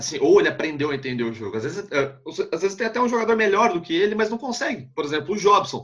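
In a regional Brazilian accent, a man with a high pitch talks at a very fast pace. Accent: noticeable regional Brazilian. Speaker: sports journalist. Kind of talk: casual interview chat. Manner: halting, repeats words.

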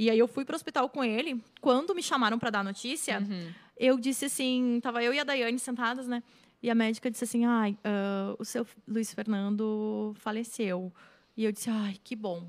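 A woman with an unremarkable speaking voice and fairly high pitch talks at a moderate pace with ordinary pitch variation. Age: 30s. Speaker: writer and screenwriter. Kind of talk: casual chat.

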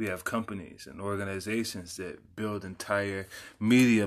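Here is an ordinary speaking voice from a man with an American accent. He talks at a fairly slow pace, fairly low in pitch, with fairly even intonation. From Texas (San Antonio). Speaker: podcast host. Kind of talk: personal monologue.

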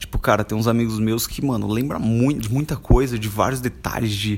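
A man's plain, everyday voice at a medium pitch. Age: 20s. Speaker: podcaster and YouTuber. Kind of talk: casual solo monologue.

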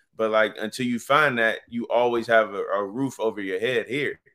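A man with a medium pitch speaks at a moderate pace in a bright, sharp tone. The recording is very clean with a silent background. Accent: American. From Virginia, US. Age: 30s. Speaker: author and journalist. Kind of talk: interview.

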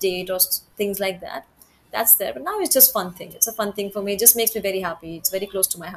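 A woman speaks with an Indian accent at a fairly high pitch. Noticeable background noise is present. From Gorakhpur, Uttar Pradesh, India. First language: Hindi. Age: 20s. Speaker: actress and model. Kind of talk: casual interview, Hindi-English code-switching.

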